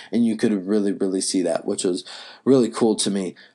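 Against a quiet background, a man with an American accent speaks at a fairly low pitch with fairly even intonation. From US South, North Carolina. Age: 20s. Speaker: college student podcaster. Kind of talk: solo monologue podcast. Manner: casual, filler-heavy.

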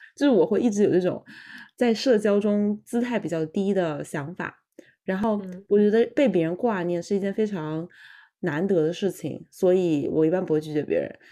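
Over a quiet background, a woman speaks at medium pitch and a moderate pace, with a dark, mellow tone and ordinary pitch variation. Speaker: podcast co-host, graduate student. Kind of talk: casual chat.

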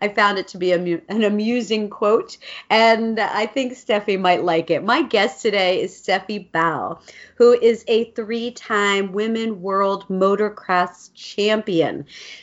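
The woman's delivery is fairly slow, and her pitch lands in the medium range. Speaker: podcast host. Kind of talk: interview. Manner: enthusiastic.

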